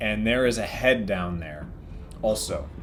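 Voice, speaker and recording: Music plays in the background while a man talks. He speaks very slowly at a medium pitch. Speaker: dungeon master. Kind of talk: tabletop game narration.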